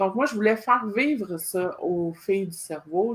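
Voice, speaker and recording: A woman with a Quebec accent. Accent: Québécois French. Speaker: podcast host. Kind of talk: interview. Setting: live video stream.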